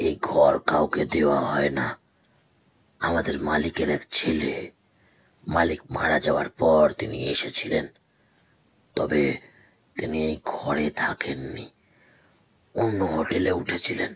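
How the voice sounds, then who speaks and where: A man puts on a raspy character voice, very deep and low in pitch, speaking at a fairly slow pace with fairly even intonation. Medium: audio drama. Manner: deferential, low and guarded.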